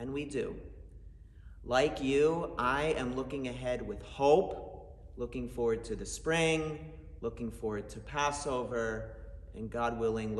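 Audible room echo surrounds the voice. A man talks at a fairly slow pace. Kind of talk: holiday message to congregation. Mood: warm, hopeful.

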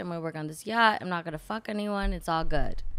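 Here is a woman with an ordinary speaking voice. She talks at a fairly quick pace with lively intonation. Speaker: yacht stewardess. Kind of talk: casual chat. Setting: studio.

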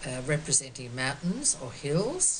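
A woman speaks with an Australian accent. Light background noise can be heard. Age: 70s. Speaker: quilt artist. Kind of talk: artist talk. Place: home room. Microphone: webcam.

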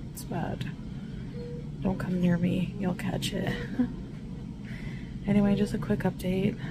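With music in the background, a woman speaks at a very slow pace. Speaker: vlogger. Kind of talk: casual vlog chat. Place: car. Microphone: phone near.

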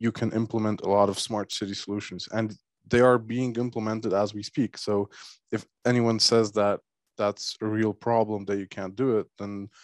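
A man with a fairly low pitch speaks in a monotone, flat way at a moderate pace, the sound dry with no echo and the background quiet. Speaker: government official on panel. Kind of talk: panel discussion answer. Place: hall. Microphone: handheld.

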